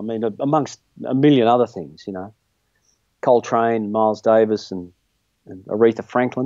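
Against a quiet background, a man with an Australian accent and medium pitch talks at a very fast pace. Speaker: guitarist. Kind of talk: casual chat. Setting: video call from home studio.

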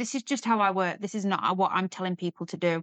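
A woman with an English accent speaks at medium pitch with fairly even intonation, the sound dry and close with no echo over a quiet background. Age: 40s. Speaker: weight loss story guest and surrogate. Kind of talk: personal testimony interview.

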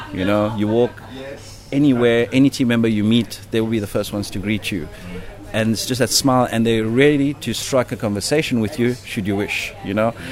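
A man's fairly quick delivery with fairly even intonation over noticeable background noise. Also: medium pitch for a man. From South Africa. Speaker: hotel general manager. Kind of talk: interview. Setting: on location at a hotel. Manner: hesitant with many fillers.

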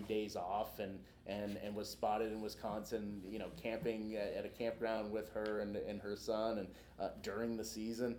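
A man with an American accent speaks at a moderate pace in a fairly low pitch with flat, monotone intonation, and room echo is audible. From Boston. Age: young. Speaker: author. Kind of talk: book talk interview. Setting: live event with audience. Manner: halting, many repetitions.

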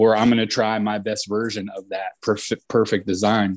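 Fairly slow, flat monotone delivery with an American accent against a quiet background. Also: man. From New Jersey, US. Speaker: tattoo artist, shop owner. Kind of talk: casual interview.

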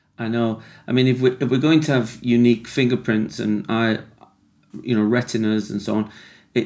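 Captured on a very clean recording with a silent background, a man with a British accent talks at a fairly quick pace and medium pitch, keeping his intonation fairly even. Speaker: podcast host, addiction recovery worker.

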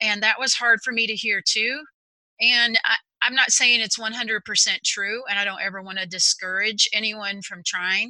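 Bright and sharp in tone, a woman with an American accent speaks at a moderate pace and a fairly high pitch with fairly even intonation. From Texas. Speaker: executive functioning coach. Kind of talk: interview.

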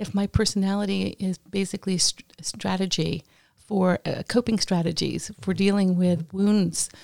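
A woman with a plain, everyday voice speaks at a moderate pace and medium pitch with fairly even intonation, captured on a very clean recording with a silent background and a dry, close sound with no echo. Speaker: podcast co-host. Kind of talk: casual interview chat.

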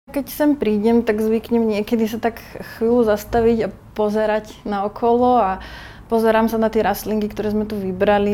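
A woman's fairly high, dark and mellow voice at a moderate pace. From Slovakia, High Tatras region. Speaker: plant shop owner. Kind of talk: interview.

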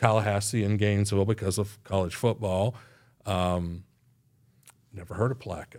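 On a very clean recording with a silent background, a man with a fairly low pitch speaks at a moderate pace with fairly even intonation and long, frequent pauses. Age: 60s. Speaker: economic development director. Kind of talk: casual interview. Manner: halting, many fillers and repeats.

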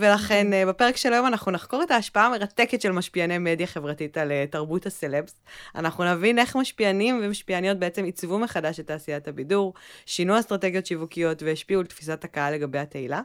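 At a very fast pace and with hardly any pauses, a woman speaks at medium pitch with lively intonation. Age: 30s. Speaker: podcast co-host, content manager. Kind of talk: casual chat.

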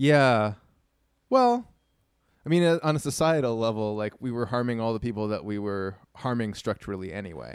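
This man has a medium-pitched voice with a Toronto accent. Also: ordinary pitch variation, moderate pace, very clean recording, silent background. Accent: Canadian (Toronto). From Canada. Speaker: musician and artist. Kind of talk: casual chat.

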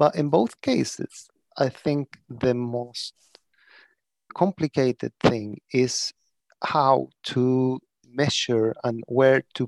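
Against a quiet background, a man with a Spanish accent speaks at a medium pitch with fairly even intonation, the sound dry and close with no echo. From Chile. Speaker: prison architecture lecturer and consultant. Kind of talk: interview. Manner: halting.

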